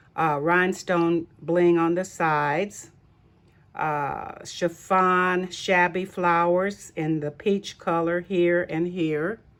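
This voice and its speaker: Speaking at a very slow pace, a woman holds a fairly low pitch in a monotone, flat delivery. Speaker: craft video creator. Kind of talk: craft tutorial show-and-tell. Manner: halting, many fillers.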